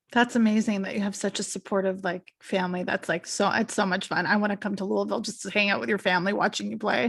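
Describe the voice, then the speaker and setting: A woman talks at a very fast pace with hardly any pauses. She has a Canadian accent and vocal fry. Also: medium pitch for a woman, ordinary pitch variation, very clean recording, silent background. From Canada, Toronto. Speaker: podcast host. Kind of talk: casual interview chat. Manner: animated.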